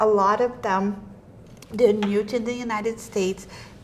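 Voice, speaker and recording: A woman speaks in a Portuguese accent at a fairly high pitch. Noticeable background noise runs behind her. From Portuguese-speaking country, immigrated to US. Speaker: state representative and podcast host. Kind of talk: casual podcast chat. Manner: animated.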